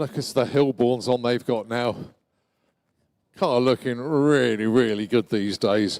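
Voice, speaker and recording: Very slowly, a man speaks. He has an English accent. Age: 60s. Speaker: motorsport commentator. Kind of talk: live commentary. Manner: animated.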